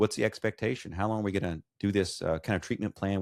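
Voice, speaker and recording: A man speaks at a very fast pace with fairly even intonation and a fairly low pitch. The recording is very clean, with a silent background and a dry, close sound with no echo. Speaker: occupational therapist and podcaster. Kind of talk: casual interview. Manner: monotone.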